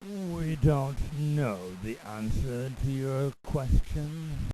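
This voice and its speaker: Speaking very slowly in a put-on character voice, a man uses medium pitch and ordinary pitch variation. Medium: solo performance. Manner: formal, pompous.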